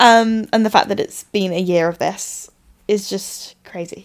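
A woman with an English accent talks with fairly even intonation. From England. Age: 20s. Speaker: podcast host and coach. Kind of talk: casual monologue. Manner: chatty, filler-heavy.

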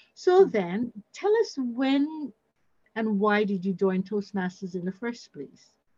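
Speaking at a very slow pace, a woman sounds somewhat breathy. Her voice is fairly high, and her intonation is lively. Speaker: podcast host. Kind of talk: interview.

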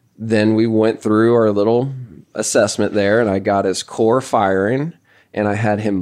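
A man's fairly low-pitched, ordinary speaking voice against a quiet background. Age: 30s. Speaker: golf coach and podcast host. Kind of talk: casual podcast chat.

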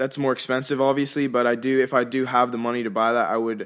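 An unremarkable speaking voice from a man at a medium pitch and fairly quick pace, on a very clean recording with a silent background. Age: young. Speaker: university student. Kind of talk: interview.

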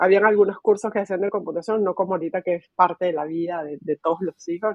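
Pitched in the medium range, a woman talks with ordinary variation in her pitch. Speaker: technology executive. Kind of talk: interview. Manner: filler-heavy, hesitant.

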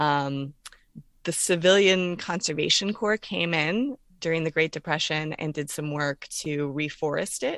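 A woman's very deep, low voice at a moderate pace, ordinary pitch variation, dry and close with no echo, in a very clean recording with a silent background. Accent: American. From Florida, Orlando. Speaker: author and university teacher. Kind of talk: interview.

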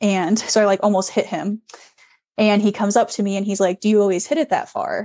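An American accent marks this woman's medium-pitched voice, dark and mellow in tone, with ordinary pitch variation. The sound is dry and close with no echo over a quiet background. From US Midwest. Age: 20s. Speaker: long drive golfer. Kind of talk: casual interview chat.

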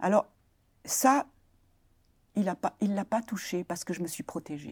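On a very clean recording with a silent background, a woman of medium pitch speaks at a very slow pace, the sound dry and close with no echo. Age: 70s. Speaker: retiree and abuse survivor. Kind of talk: testimony. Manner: halting.

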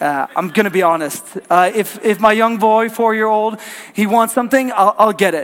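A man speaks at a fairly quick pace with ordinary pitch variation, over noticeable background noise. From Norway. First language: Norwegian. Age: 30s. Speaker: pastor. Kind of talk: sermon. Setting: church.

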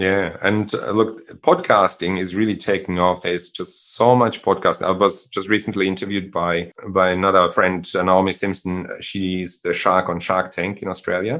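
A man speaks with a German accent in a very deep, low pitch. His intonation is monotone and flat, against a quiet background. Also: moderate pace. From Germany. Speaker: social entrepreneur. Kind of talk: interview.

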